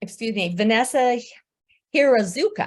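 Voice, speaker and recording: This woman talks at a moderate pace in an American accent, her pitch varying in an ordinary way. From US Midwest, Omaha, Nebraska. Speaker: grant writing specialist. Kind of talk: presentation.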